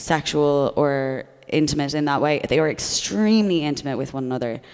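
Someone with an Irish accent speaks at a moderate pace with ordinary pitch variation. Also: woman. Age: 30s. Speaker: comedian. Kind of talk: casual chat. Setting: stage with audience.

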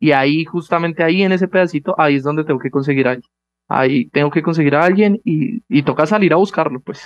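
This man talks at a very fast pace in a fairly high pitch, his pitch varying in an ordinary way. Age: young. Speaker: startup founder. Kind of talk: interview.

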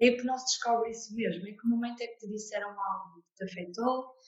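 A normal speaking voice from a woman, fairly high in pitch and fairly quick, with fairly even intonation. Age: 20s. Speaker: therapist and coach. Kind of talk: interview testimony.

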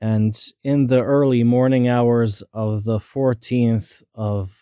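Speaking very slowly at a medium pitch, a man has a dark, mellow tone and fairly even intonation, in a dry, close sound with no echo on a very clean recording with a silent background. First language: not English. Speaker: podcaster. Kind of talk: personal monologue. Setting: in bed at home late at night. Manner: unscripted, halting at times.

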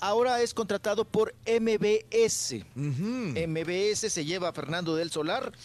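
The speech moves at a very slow pace with hardly any pauses. Noticeable background noise is present. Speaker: entertainment commentator. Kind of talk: casual radio chat.

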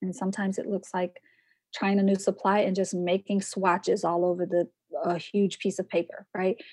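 Recorded with a dry, close sound with no echo, a woman speaks at a fairly quick pace and medium pitch, somewhat breathy, with fairly even intonation. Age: 40s. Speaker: poet, book artist and online course teacher. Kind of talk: casual interview conversation.

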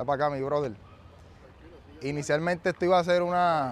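A man speaks at a fairly quick pace in a fairly high voice with ordinary pitch variation. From Puerto Rico, San Juan public housing. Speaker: motivational speaker and investor. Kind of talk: motivational talk to live audience. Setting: outdoor basketball court event with audience.

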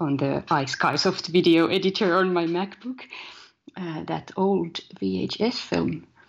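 With a Finnish accent, a woman talks at a very slow pace in a fairly low pitch, her intonation lively and her voice showing vocal fry. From Finland. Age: 30s. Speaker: poet, musician and filmmaker. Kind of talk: interview. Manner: halting.

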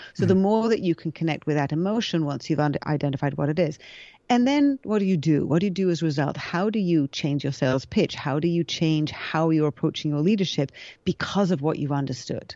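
Speaking at a very fast pace, a woman uses a very deep, low pitch with ordinary pitch variation. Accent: British. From England. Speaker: future of work consultant. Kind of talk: casual interview chat.

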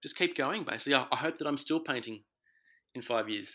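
This man talks with an Australian accent. His tone is bright and sharp. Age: 30s. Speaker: self-taught oil painter. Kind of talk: interview. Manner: halting.

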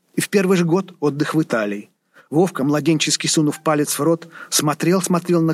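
It's an unremarkable speaking voice from a man at a moderate pace. His pitch is fairly high. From Saint Petersburg, Russia. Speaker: author and scholar reading own novel excerpt. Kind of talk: literary audiobook reading. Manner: measured, expressive narration, shifting from wry irony to warm tenderness.

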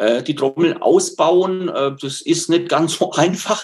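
A man with a high-pitched voice shows ordinary pitch variation. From Lower Franconia, northern Bavaria (near Würzburg). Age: 60s. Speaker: nature educator and self-sufficiency gardener. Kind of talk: webinar talk answering questions. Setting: online webinar.

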